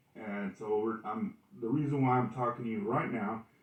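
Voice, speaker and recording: Noticeable background noise behind a man's medium-pitched voice, moderate in pace with lively intonation. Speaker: podcast host. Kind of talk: casual monologue, sound check. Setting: home recording test. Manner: halting, stuttering; casual, enthusiastic.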